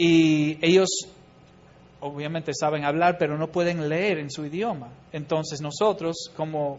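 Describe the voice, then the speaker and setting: With an English accent, a man speaks at a high pitch and a fairly slow pace. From US Midwest, Chicago. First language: English (speaking Spanish). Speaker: missionary. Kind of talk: church talk.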